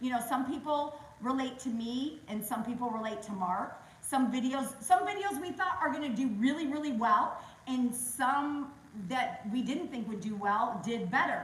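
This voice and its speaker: In a room with audible echo, a woman speaks loudly at a moderate pace, with a high pitch, an animated tone and lively intonation. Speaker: real estate agent. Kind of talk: interview on a webinar.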